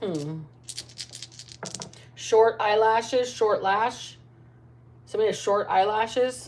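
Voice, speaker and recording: A woman speaks at a very slow pace, leaving long, frequent pauses. Her pitch is fairly high, with ordinary variation. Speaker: tarot reader. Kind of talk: live tarot reading. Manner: loud.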